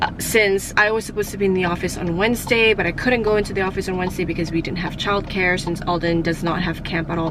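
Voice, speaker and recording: A woman talks at a fairly quick pace with fairly even intonation and medium pitch. Audible room echo and noticeable background noise are present. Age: 30s. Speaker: lifestyle vlogger. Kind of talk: casual vlog talk. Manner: halting, stumbles over words.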